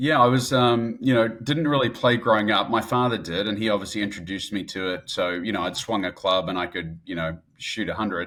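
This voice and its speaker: Hardly pausing, a man with a New Zealand accent talks at a fairly quick pace with a fairly low pitch. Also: ordinary pitch variation. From New Zealand, Christchurch then Auckland. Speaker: entrepreneur, real estate investor. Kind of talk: podcast interview. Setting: remote, at a conference in Dallas.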